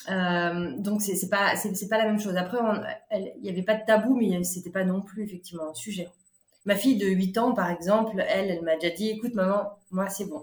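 Fairly quick speech comes from a woman at medium pitch. Her intonation stays fairly even. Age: 40s. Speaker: shop founder. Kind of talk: interview. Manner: halting.

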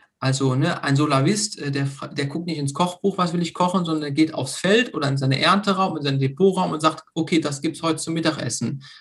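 At a fairly quick pace with hardly any pauses, this plain, everyday voice carries ordinary pitch variation. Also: man, fairly high pitch for a man. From Germany, Lower Rhine (Meerbusch). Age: 30s. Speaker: hobby farmer, association founder. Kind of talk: casual interview.

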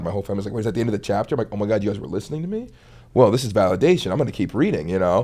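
A man speaks at a fairly low pitch. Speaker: comedic content creator. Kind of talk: casual chat.

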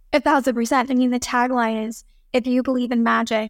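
With an American accent, a woman speaks fairly quickly in a high, monotone voice with flat intonation, the sound dry and close with no echo. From Texas, Dallas. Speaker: model and filmmaker. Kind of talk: casual interview.

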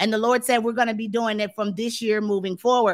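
A woman speaks in a passionate tone. The recording is very clean, with a silent background. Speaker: preacher. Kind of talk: sermon. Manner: loud, passionate, boisterous; animated, shouting when stirred in spirit.

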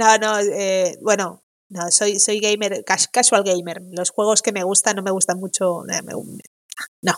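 A woman speaks at a very slow pace with long, frequent pauses. Her intonation is monotone and flat. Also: medium pitch for a woman. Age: 40s. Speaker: audiovisual translator. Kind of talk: casual interview chat.

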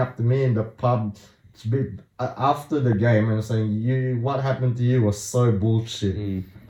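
A man's somewhat breathy voice has a dark, mellow tone, a medium pitch and ordinary pitch variation. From Singapore. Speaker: sports super fan. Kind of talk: casual chat.

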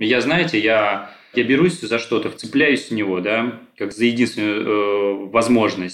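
A man with medium pitch talks at a moderate pace. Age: 30s. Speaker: therapy client. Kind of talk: therapy session. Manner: halting, many fillers.

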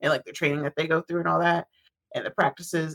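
A woman speaks in a relaxed tone. Her voice is bright and sharp. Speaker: podcast co-host. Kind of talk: casual chat. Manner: laughs often, relaxed.

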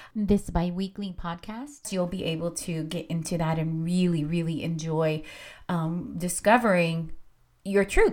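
A woman with a medium pitch speaks in an animated tone with ordinary pitch variation. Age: 40s. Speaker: spiritual podcast host. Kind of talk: casual monologue.

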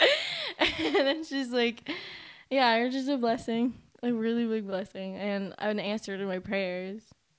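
A woman with an unremarkable speaking voice talks at a fairly high pitch and a fairly slow pace. Her pitch varies in an ordinary way, and the recording is very clean with a silent background. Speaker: podcast co-host. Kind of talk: casual chat.

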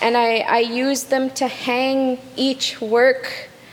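A woman's high, monotone voice with flat intonation, over noticeable background noise. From Kitigan Zibi reserve, Outaouais, Quebec. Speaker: artist, graduate student. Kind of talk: interview.

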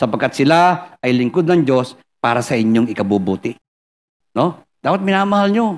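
With very wide pitch swings and very even loudness, a man talks at a moderate pace in a fairly high pitch. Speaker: pastor. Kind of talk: sermon.

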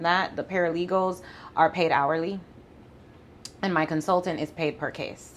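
A woman with a slight Jamaican accent at a moderate pace, her fairly low pitch set in monotone, flat intonation and broken by long, frequent pauses. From Jamaica (Mandeville). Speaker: family law attorney. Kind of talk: interview.

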